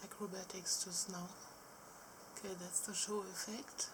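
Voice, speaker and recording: A soft-spoken woman talks at a fairly slow pace. Noticeable background noise runs underneath. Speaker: vlogger. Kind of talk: casual vlog talk. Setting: outdoors on balcony.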